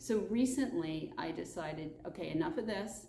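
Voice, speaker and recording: Audible room echo surrounds the voice, along with noticeable background noise. The delivery keeps a moderate speed. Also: woman. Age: 60s. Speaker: children's book author. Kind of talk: informal talk to camera.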